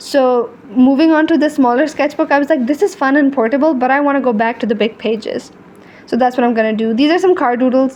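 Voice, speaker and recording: The background noise is noticeable. A woman with a high-pitched voice speaks at a fairly quick pace. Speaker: artist and video creator. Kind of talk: casual chat. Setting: voiceover recorded over video. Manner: animated.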